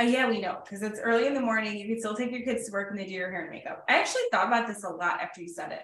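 A woman with an American accent and a fairly high pitch talks very fast, with hardly any pauses. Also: ordinary pitch variation. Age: 30s. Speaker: school principal and podcast host. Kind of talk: casual chat, interview.

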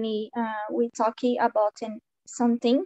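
A woman with a Portuguese accent. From Brazil, Minas Gerais. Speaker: business administration graduate. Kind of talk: casual conversation practice. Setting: video call. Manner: halting.

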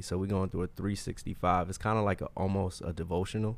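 A man's plain, everyday voice, fairly low in pitch, at a fairly quick pace with an American accent, in a very clean recording with a silent background. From Brooklyn, New York. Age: 30s. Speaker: author. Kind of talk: casual interview chat.

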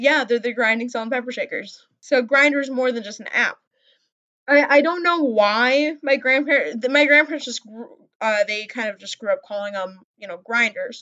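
With an American accent, a woman talks at a moderate pace in a high pitch, using ordinary pitch variation and big swings in loudness. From US Midwest, Wisconsin. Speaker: podcast co-host. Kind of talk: casual chat. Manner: talkative, chatty.

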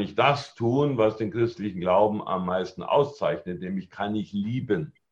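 A somewhat breathy male voice, fairly slow in pace, with lively intonation. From Germany, Allgäu (Bavaria/Swabia). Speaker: network marketing trainer and speaker. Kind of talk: podcast interview. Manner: calm, composed.

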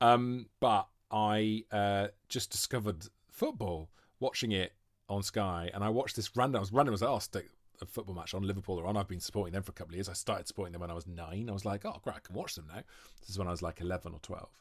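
A man with a Welsh accent, very fast and fairly low in pitch, with ordinary pitch variation, on a very clean recording with a silent background. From Wales, Monmouth. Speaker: actor and comedian. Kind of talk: casual chat. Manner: animated.

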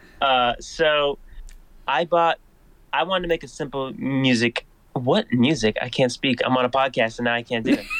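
A man's plain, everyday voice with an American accent, medium pitch and ordinary pitch variation at a moderate pace, in a dry, close sound with no echo. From Massachusetts. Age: 20s. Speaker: content creator. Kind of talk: interview storytelling.

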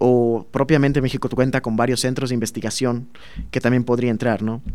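A man with a plain, everyday voice speaks at medium pitch and a fairly quick pace, keeping his intonation fairly even. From southern Veracruz, Mexico (Minatitlán). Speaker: master's student in chemical engineering. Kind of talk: interview.

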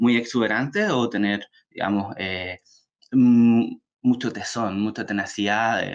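A man speaks against a quiet background. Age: 30s. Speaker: author. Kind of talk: talk. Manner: halting.

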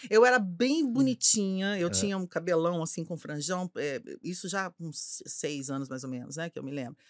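A woman with a plain, everyday voice speaks at a fairly low pitch with lively intonation, big swings in loudness and hardly any pauses, on a very clean recording with a silent background. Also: moderate pace. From Belo Horizonte, Minas Gerais, Brazil. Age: 50s. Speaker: advertising executive. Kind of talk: casual chat.

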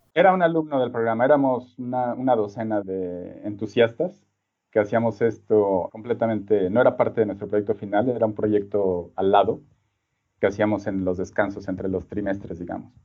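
A man's fairly low voice, with ordinary pitch variation, keeps a moderate pace. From Mexico City. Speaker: design professor and researcher. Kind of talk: interview. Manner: halting, many repeated words and fillers.

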